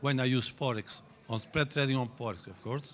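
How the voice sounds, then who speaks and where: A man speaks with an Italian accent. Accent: Italian accent, noticeable. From Italy. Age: 60s. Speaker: trading teacher. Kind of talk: lecture. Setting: stage with audience. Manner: halting.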